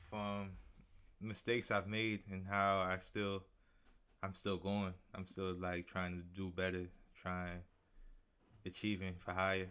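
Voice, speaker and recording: Against a quiet background, a man talks with a very deep, low pitch and a bright, sharp tone at a fairly slow pace. His intonation is monotone and flat, with long, frequent pauses. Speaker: rapper. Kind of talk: casual chat. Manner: reserved, soft-spoken.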